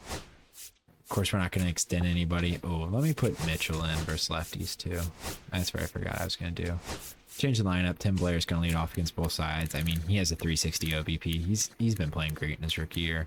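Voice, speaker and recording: A man speaks at a fairly quick pace in a very deep, low pitch. His intonation stays fairly even. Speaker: gaming video creator. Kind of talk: gameplay commentary.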